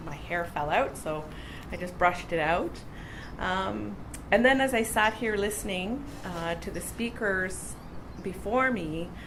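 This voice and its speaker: With a Canadian accent and a fairly low pitch, a woman speaks at a fairly slow pace amid noticeable background noise and audible room echo. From northwestern Ontario, Canada. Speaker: conference speaker, university graduate. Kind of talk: conference talk with storytelling. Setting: conference stage with audience. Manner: casual, with many filler words.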